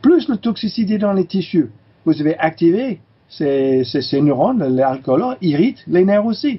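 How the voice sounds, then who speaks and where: His pitch swings very widely. The man's delivery is fairly slow. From California, US. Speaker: chiropractor and teacher. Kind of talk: interview. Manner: halting, many fillers.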